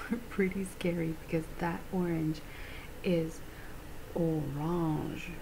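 Soft-spoken woman, fairly low pitch, relaxed tone, very slow pace, noticeable background noise. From Canada. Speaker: beauty vlogger. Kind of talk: ASMR beauty haul, casual chatty talk to camera. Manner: soft-spoken, chatty, relaxed. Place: home room.

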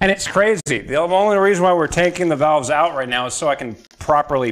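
In an ordinary speaking voice, a man with an American accent talks at a fairly quick pace, his fairly high pitch moving in lively intonation. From central North Carolina. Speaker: car mechanic streamer. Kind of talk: casual chat while working on an engine. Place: workshop. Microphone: camera far.

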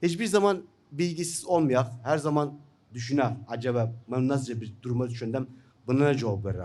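The speaker talks with an Iraqi accent at a moderate pace and lively intonation. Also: man. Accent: Iraqi Turkmen Turkish. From northern Iraq (Turkmen). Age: 50s. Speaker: journalist and writer; journalist. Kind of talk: seminar talk. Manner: halting, many fillers. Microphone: podium.

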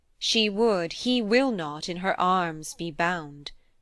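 In a very clean recording with a silent background, a woman speaks at a fairly slow pace with lively intonation. It is an ordinary speaking voice. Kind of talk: poem reading aloud. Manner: measured narrative storytelling, building to vivid action.

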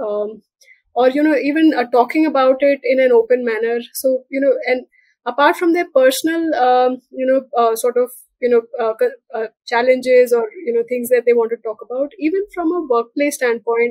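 A woman at a high pitch with ordinary pitch variation and a moderate pace, in a dry sound with no echo and a quiet background. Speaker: guest. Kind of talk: interview answer. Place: home room. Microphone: video call.

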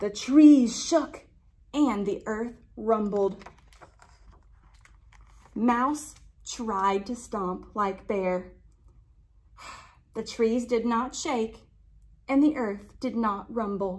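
Speech moves at a very slow pace with long, frequent pauses, ordinary pitch variation and a slightly mellow tone. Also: woman, fairly high pitch for a woman.

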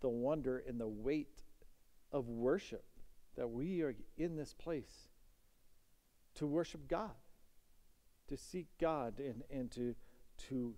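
Speaking very slowly with long, frequent pauses, a man uses a dark, mellow tone and ordinary pitch variation. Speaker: pastor. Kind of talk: sermon. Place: church. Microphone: headset.

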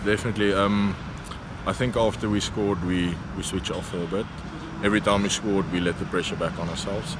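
A man at a fairly quick pace, dry sound with no echo, loud background noise underneath. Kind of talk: interview answer. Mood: content but self-critical. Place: stadium. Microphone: phone near.

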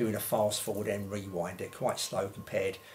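A man with a fairly low voice talks at a very fast pace over noticeable background noise. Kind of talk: tutorial. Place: home room.

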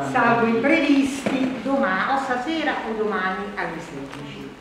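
At a moderate pace, a woman with a high pitch and very wide pitch swings is heard amid strong room echo and noticeable background noise. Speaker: journalist and event moderator. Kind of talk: event moderator announcement to audience. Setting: public hall event. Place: hall. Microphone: camera far.

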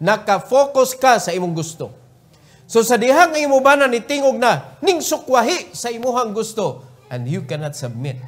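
Very wide pitch swings at a moderate pace, in a Cebuano accent. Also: man, extremely high pitch for a man. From Cebu, Philippines. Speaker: preacher. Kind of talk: sermon; fervent prayer, pleading and earnest, closing the meeting. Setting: church. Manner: emphatic, preaching with repeated commands; earnest, pleading. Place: church. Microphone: podium.

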